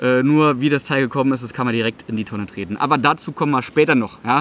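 A man speaks in a fairly bright tone, with ordinary pitch variation.

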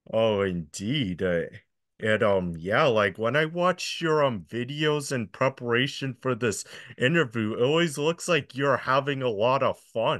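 With an American accent, a man speaks at a medium pitch and a fairly slow pace, his intonation lively. His loudness stays very even against a quiet background. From US Northeast, upstate New York. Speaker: interviewer, music fan; interviewer. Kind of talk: interview. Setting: video call. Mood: cheerful, smiling. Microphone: video call.

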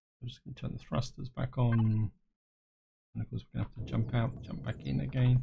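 At a fairly quick pace, a man talks in a medium pitch with a somewhat breathy, dark, mellow tone. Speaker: gaming YouTuber. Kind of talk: gameplay commentary. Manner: casual, explanatory.

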